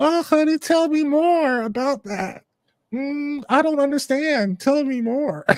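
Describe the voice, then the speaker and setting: A man in a put-on character voice, extremely high in pitch, at a fairly slow pace. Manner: sweet, endearing, feigning confusion.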